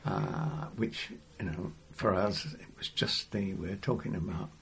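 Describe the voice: Spoken with an English accent at a fairly slow pace, the voice has a fairly bright tone. Pitch varies in an ordinary way, and there is audible room echo. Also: man, low pitch for a man.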